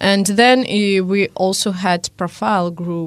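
At a fairly slow pace, a woman speaks at medium pitch with ordinary variation. Hers is an unremarkable speaking voice. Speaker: guest, language learner living abroad. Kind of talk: casual panel discussion. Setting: studio.

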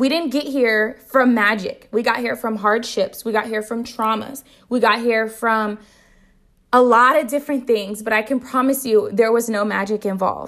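An animated tone at a moderate pace on a very clean recording with a silent background. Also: woman, fairly high pitch for a woman. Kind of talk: solo podcast monologue. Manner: animated, loud.

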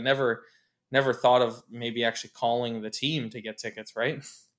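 A plain, everyday voice from a man with a Canadian accent, medium-pitched and at a fairly quick pace. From Ontario, Canada (Oshawa). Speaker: sports ticketing director. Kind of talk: interview.

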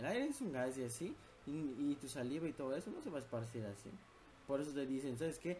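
A man talks at a very fast pace in a somewhat breathy voice with a dark, mellow tone, fairly high pitch and ordinary pitch variation. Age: 20s. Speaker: podcast host. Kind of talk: casual chat.

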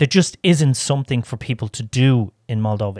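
Recorded very cleanly against a silent background, a man with an Irish accent speaks at a moderate pace and medium pitch with ordinary pitch variation. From Ireland. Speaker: podcast co-host. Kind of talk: casual interview chat; scripted intro and outro.

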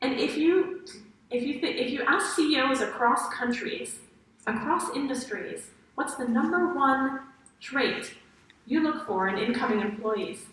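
Over noticeable background noise, a woman speaks at a fairly slow pace with a high pitch and lively intonation. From France. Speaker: happiness researcher. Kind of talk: interactive lecture. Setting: stage with audience.

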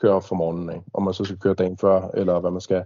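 This is a man speaking. His pitch is fairly low. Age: 30s. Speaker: airsoft milsim player. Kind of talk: casual chat. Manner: halting, many fillers.

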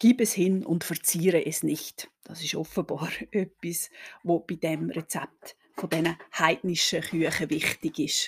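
At a fairly slow pace, a woman with a fairly low pitch speaks in a somewhat breathy voice with fairly even intonation. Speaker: historian podcast host. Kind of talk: history podcast narration.

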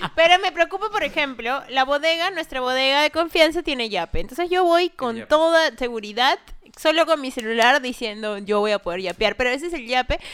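A woman talks at a fairly quick pace in a high pitch, with very wide pitch swings and hardly any pauses. Noticeable background noise runs underneath. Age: 20s. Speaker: podcast co-host. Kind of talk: casual chat.

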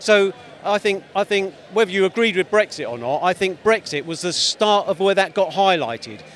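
A man with a high voice and ordinary pitch variation talks amid noticeable background noise. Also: moderate pace. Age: 60s. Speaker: street interviewee at a protest. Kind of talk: street interview. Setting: outdoors at a demonstration.

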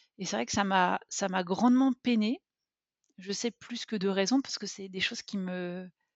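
A woman speaks at a moderate pace. Her pitch is medium with ordinary variation. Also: long, frequent pauses. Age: 30s. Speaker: podcast listener, mother. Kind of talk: personal testimony interview. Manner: hesitant, many fillers.

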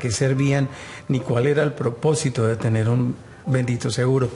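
Noticeable background noise sits behind a man talking at a medium pitch and a moderate pace. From Colombia. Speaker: insurance customer, heart attack survivor. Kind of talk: testimony.

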